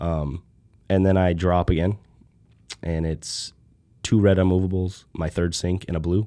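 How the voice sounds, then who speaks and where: A man with a very deep, low pitch and a dark, mellow, relaxed tone speaks at a moderate pace in a monotone, flat intonation. He leaves long, frequent pauses, and the recording is very clean with a silent background. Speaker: podcast host. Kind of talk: casual chat. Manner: relaxed, many filler words.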